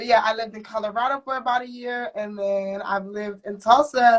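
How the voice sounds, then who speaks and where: A woman's unremarkable speaking voice, fairly high in pitch, at a fairly quick pace with fairly even intonation. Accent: American. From Ohio, US Midwest. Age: 20s. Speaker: henna artist and student. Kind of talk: casual interview chat. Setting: live-streamed interview at community event.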